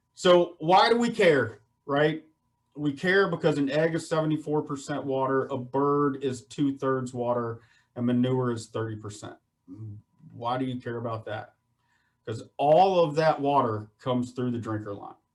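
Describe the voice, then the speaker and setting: This man has a fairly high voice. He talks with a Southern US accent. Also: ordinary pitch variation, moderate pace. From US South, Virginia (Shenandoah Valley). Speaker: poultry industry speaker on water treatment. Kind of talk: webinar presentation. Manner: casual, repetitive for emphasis.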